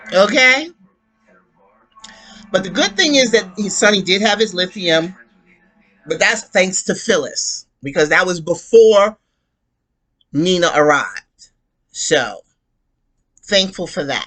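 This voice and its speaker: With music in the background, a woman at medium pitch talks at a fairly slow pace with lively intonation and long, frequent pauses. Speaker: soap opera recap youtuber. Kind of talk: casual monologue recap. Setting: home bedroom. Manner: loud; animated.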